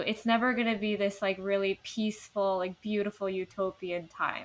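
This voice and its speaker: A woman with an American accent speaks fairly quickly at a medium pitch, her intonation flat and monotone. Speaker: podcast co-host. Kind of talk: casual chat. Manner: stutters and repeats words.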